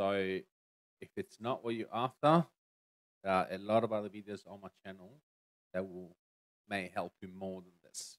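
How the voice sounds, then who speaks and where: Against a quiet background, a man with a fairly low pitch talks at a moderate pace with fairly even intonation. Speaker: tech reviewer streamer. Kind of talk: product review tutorial. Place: home room. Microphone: studio mic.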